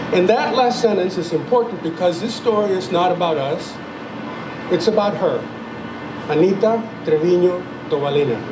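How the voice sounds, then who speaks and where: A high-pitched man with a Spanish accent at a moderate pace, ordinary pitch variation, long and frequent pauses, audible room echo and noticeable background noise. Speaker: retired journalist and playwright. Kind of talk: ceremony speech.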